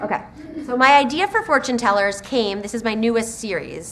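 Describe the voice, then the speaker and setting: A woman speaks at a fairly high pitch with ordinary pitch variation. Noticeable background noise sits behind her. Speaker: children's book author. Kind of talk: author talk to school students. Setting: school presentation with student audience. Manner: fast.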